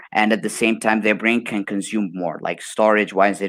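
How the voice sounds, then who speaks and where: Recorded very cleanly against a silent background, a man with an Arabic accent and fairly low pitch sounds dry and close, with no echo. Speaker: motivational speaker. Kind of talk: casual interview chat.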